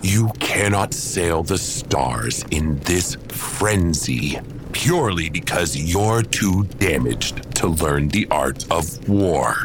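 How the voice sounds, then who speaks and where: Through loud background noise, a man with a very deep, low voice speaks at a very slow pace. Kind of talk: audio drama acting. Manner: calm, firm, reproachful.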